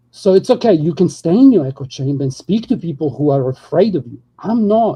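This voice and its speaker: This man talks at a fairly quick pace. His pitch is fairly high, and his intonation is lively. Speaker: panel guest. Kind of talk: heated debate. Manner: fast.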